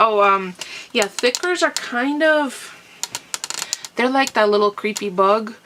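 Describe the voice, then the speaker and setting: With noticeable background noise behind her, a woman speaks at a fairly slow pace with ordinary pitch variation. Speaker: crafter. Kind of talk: casual talk to camera.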